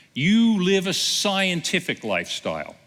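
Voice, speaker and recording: A man's bright, sharp tone, with vocal fry. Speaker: pastor. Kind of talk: sermon.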